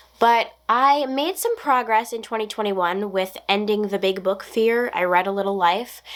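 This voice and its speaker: Over noticeable background noise, a woman talks at a moderate pace in a medium pitch with ordinary pitch variation. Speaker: book vlogger. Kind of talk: casual vlog talk to camera.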